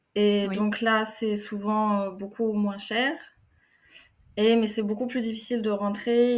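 Monotone, flat intonation marks a woman with a fairly high pitch. She talks at a very slow pace amid audible room echo. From France, Normandy. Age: 20s. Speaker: physiotherapist. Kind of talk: interview. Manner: halting.

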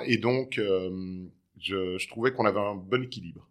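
A man's fairly low voice, with ordinary pitch variation, comes through on a very clean recording with a silent background. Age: 40s. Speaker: separated father. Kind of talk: interview. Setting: at his home. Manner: halting, frequent hesitations.

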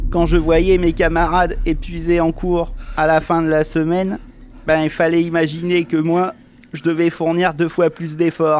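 The delivery is monotone and flat. The pace is fairly slow. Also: man, high pitch for a man. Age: 30s. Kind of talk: personal testimony.

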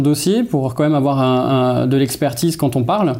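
A man with a fairly high pitch speaks at a moderate pace. His intonation is fairly even, with music playing in the background. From Alsace, Mulhouse. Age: 30s. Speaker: entrepreneur, event agency director. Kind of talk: interview testimony. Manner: hesitant, many fillers.

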